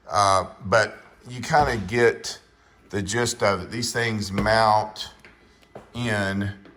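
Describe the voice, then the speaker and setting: Room echo is audible around this man's fairly low voice. His intonation stays fairly even. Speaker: car YouTuber. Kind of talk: casual tutorial walkthrough. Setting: garage under a car lift. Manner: mumbling, halting with many fillers.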